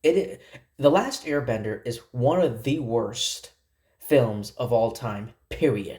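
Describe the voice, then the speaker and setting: This man talks at a very slow pace in a somewhat breathy voice. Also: medium pitch for a man, ordinary pitch variation. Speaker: YouTube film commentator. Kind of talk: casual vlog review monologue. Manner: halting, stuttering.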